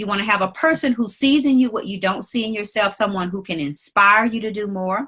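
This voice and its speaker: With a Mississippi accent, a woman speaks at a moderate pace in a medium pitch, her bright, sharp tone carrying lively intonation. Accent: Southern US (Mississippi). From US South, Mississippi Delta. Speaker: attorney and business leader. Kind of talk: interview.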